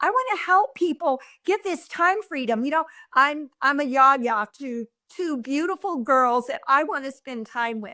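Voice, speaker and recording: Raising and projecting her high-pitched voice, a woman speaks at a fairly slow pace with an animated, bright, sharp tone, lively intonation and big swings in loudness. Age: 60s. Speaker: online entrepreneur. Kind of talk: testimony.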